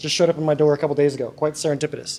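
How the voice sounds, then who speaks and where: A man's fairly high voice with an American accent at a very fast pace. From Colorado. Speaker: atheist speaker and content creator. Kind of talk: live presentation to an audience. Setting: room with live audience. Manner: animated.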